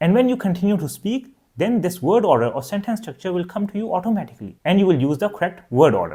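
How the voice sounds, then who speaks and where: A man speaks in a high voice with a Pakistani accent. His intonation is lively. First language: Urdu. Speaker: language teacher. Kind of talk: tutorial.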